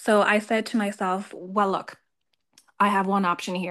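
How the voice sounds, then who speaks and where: Irish-accented woman at a moderate pace, medium pitch and fairly even intonation. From Ireland. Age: 20s. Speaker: audience member who stutters. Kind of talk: testimony.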